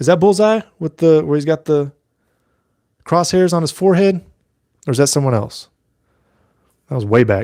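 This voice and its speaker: Someone with an American accent speaks at a moderate pace, leaving long, frequent pauses, in a dry, close sound with no echo. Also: man, fairly high pitch for a man. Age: 30s. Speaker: mask maker and YouTuber. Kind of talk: casual live stream chat. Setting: live stream. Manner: loud.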